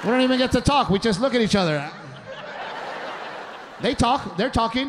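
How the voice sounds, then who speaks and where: A man speaks at a fairly quick pace with lively intonation and very even loudness, over noticeable background noise. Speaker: stand-up comedian. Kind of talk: stand-up comedy routine. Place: stage. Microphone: handheld.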